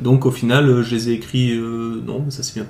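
A man's voice holds a medium pitch with monotone, flat intonation. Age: 30s. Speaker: nurse, groom. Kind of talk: casual interview. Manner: hesitant, many fillers.

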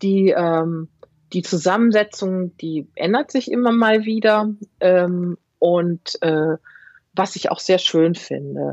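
A woman at a very slow pace, in dry, close sound with no echo. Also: medium pitch for a woman, ordinary pitch variation. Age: 50s. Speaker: knitwear designer. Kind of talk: casual chat.

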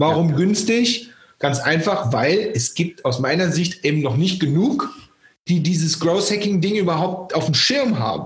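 A man's high-pitched, energetic voice at a fairly slow pace, with lively intonation and very even loudness. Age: 40s. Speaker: growth hacking trainer and keynote speaker. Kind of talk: interview conversation. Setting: remote call.

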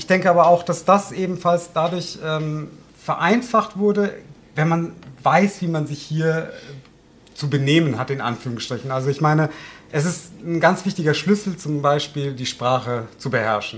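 A man talks with a fairly high pitch and ordinary pitch variation, keeping a moderate pace broken by long, frequent pauses. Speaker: mayor. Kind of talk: casual chat. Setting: home kitchen.

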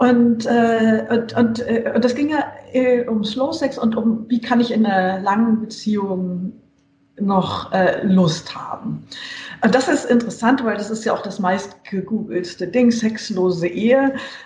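The woman talks at a fairly slow pace, her voice fairly high with ordinary pitch variation. Audible echo fills the room. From western Germany (Hesse, Saarland). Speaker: journalist and author. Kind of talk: casual interview. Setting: video call.

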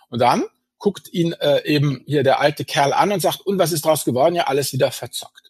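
A man with a fairly high pitch, at a fairly quick pace. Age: 50s. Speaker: finance blogger and author. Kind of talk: interview. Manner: hesitant with many fillers.

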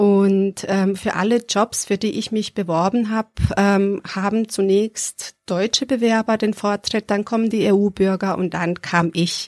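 A woman's medium-pitched voice at a fairly slow pace, monotone and flat in intonation, with hardly any pauses and a dry, close sound free of echo. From Serbia. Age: 30s. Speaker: adult education worker. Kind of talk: interview. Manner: hesitant with fillers.

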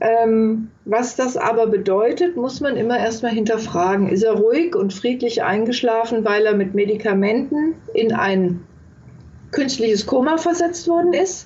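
The speaker goes at a fairly slow pace with lively intonation and very even loudness, over noticeable background noise and audible room echo. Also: woman, fairly high pitch for a woman. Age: 60s. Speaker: palliative care nurse and author. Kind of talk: interview.

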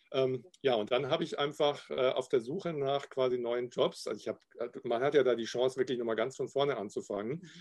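A man talks in a plain, everyday voice at a fairly quick pace. His pitch is medium, with ordinary variation. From Upper Bavaria, Garmisch-Partenkirchen. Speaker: graphic designer and illustrator. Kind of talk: casual interview.

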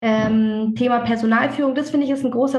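A high-pitched woman with fairly even intonation, amid audible room echo. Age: 30s. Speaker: dentist and practice owner. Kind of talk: casual interview. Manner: talkative, hesitant with fillers.

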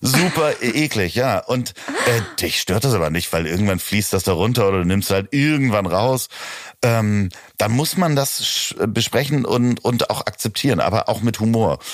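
Amid noticeable background noise, a man with a medium pitch speaks at a fairly slow pace with lively intonation and very even loudness. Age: 40s. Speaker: podcast host and producer. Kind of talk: casual chat. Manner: hesitant, many fillers.

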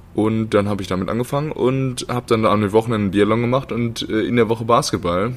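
A man speaks at a fairly quick pace with a fairly low pitch. His intonation is fairly even, with noticeable background noise behind him. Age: 20s. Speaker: professional basketball player. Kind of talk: casual chat. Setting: sitting down after a training session.

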